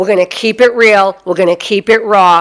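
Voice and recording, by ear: With a Boston accent, a woman speaks in a fairly bright tone and fairly even intonation. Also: medium pitch for a woman, moderate pace.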